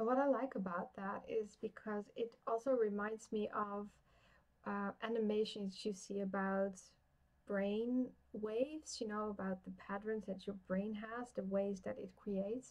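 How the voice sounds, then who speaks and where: A woman with a fairly high pitch speaks at a fairly slow pace with fairly even intonation. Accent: Dutch. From Netherlands. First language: Dutch. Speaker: tarot reader. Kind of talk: live-stream card reading. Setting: live stream. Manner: halting.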